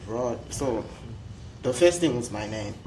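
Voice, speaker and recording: With a strong Zimbabwean accent and very wide pitch swings, a man talks at a moderate pace amid noticeable background noise and audible room echo. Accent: Zimbabwean, strong rolled R. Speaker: international student. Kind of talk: panel discussion.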